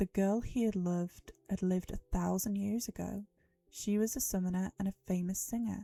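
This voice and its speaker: This woman's voice is somewhat breathy, at a medium pitch, with fairly even intonation. She keeps a moderate pace in a dry, close sound with no echo. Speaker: livestreamer. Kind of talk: dramatic reading of a novel.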